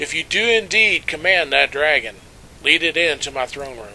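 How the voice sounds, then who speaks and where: A man uses a put-on character voice with a fairly high pitch. Clear background noise runs behind him. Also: moderate pace. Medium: read story. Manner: haughty, condescending.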